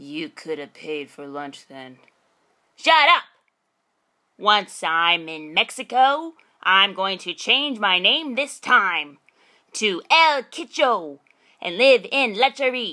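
In a cartoonish character voice at a medium pitch, a woman speaks very slowly with long, frequent pauses and very wide pitch swings, on a very clean recording with a silent background. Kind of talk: audition read. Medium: puppet. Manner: loud, gloating.

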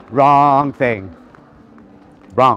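A man talks at a very slow pace, his voice dry with no echo. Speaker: interviewee. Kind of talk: interview answer. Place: street. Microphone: phone near.

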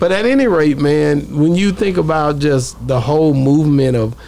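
Over faint background noise, a man speaks at a moderate pace in a fairly high pitch, his dark, mellow tone edged with vocal fry and ordinary pitch variation.

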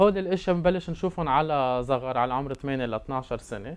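A man speaks very fast at a medium pitch, with ordinary pitch variation.

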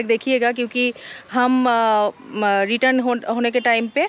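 The sound is dry with no echo, and the delivery is fairly slow with fairly even intonation. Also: woman. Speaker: travel vlogger. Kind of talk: casual vlog chat. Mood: cheerful, relaxed. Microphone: phone near.

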